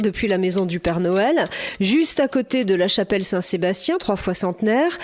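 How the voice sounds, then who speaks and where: Against noticeable background noise, a woman with a medium pitch talks at a moderate pace with lively intonation. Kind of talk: podcast narration. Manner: playful.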